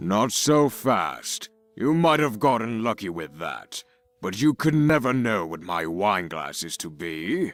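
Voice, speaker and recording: A raspy, put-on character voice from a man at medium pitch and a fairly slow pace, with faint music in the background. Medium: video game. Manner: imperious, commanding.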